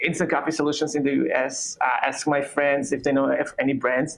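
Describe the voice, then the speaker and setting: A man with an Israeli accent, speaking at a moderate pace. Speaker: coffee company founder. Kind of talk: interview.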